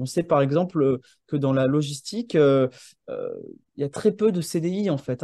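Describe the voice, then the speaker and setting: Set against a quiet background with a dry sound and no echo, a man speaks at a fairly slow pace in a dark, mellow tone with ordinary pitch variation. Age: 30s. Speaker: landscape architect and urban planner; presenter. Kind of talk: presentation. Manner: halting, many hesitations. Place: home room. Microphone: video call.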